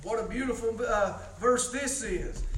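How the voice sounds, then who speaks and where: A man speaking at a very slow pace, with noticeable background noise. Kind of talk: sermon. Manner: informal, conversational preaching, halting with many fillers; earnest, pleading, exhorting the congregation.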